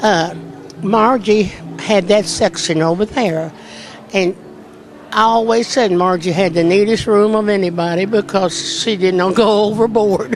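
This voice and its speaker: Amid noticeable background noise, a woman with a Kentucky accent speaks at a medium pitch, her loudness very even and her intonation fairly even. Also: fairly slow pace. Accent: rural Kentucky Southern US. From Kentucky, Boyle County. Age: 80s+. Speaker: event volunteer. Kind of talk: casual interview.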